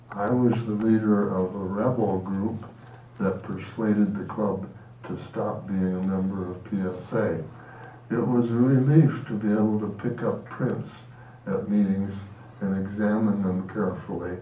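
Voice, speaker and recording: In a room with audible echo and noticeable background noise, a man with a fairly low pitch speaks fairly slowly and with fairly even intonation. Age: 90s. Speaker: photographer. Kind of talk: reading aloud. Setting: club meeting.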